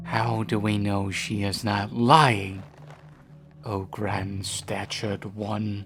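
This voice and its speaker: Over clear background music, a man puts on a character voice, fairly low in pitch, and speaks very slowly. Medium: audio drama.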